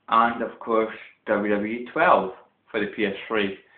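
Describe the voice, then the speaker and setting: A man's voice carries audible room echo. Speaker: gaming vlogger. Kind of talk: casual video vlog. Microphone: phone camera mic, loud speech distorts.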